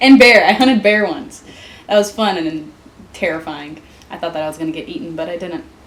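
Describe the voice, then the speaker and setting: A woman with an American accent and a fairly low pitch talks at a fairly quick pace, her intonation lively and her loudness swinging widely, with noticeable background noise. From US South, rural Georgia. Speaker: student club president. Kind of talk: casual interview. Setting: video interview while tasting hot sauces.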